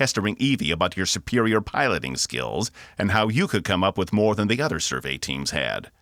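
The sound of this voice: The clip has an unforced reading voice. It is used throughout the recording.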